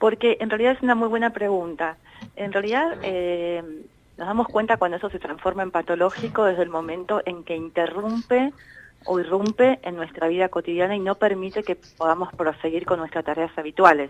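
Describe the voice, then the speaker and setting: This is an ordinary speaking voice with ordinary pitch variation. The pace is fairly quick. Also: woman, medium pitch for a woman. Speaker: psychologist, director of an anxiety disorders center. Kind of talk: radio interview answer, explanatory.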